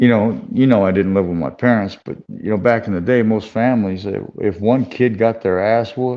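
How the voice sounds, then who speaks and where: Here is a man with an ordinary speaking voice and fairly low pitch. He keeps a moderate pace and fairly even intonation. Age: 60s. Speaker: combat sports manager and former boxer. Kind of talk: casual chat.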